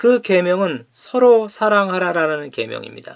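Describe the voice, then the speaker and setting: A man talks at a fairly slow pace. Nothing can be heard behind him. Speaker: pastor. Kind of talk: sermon.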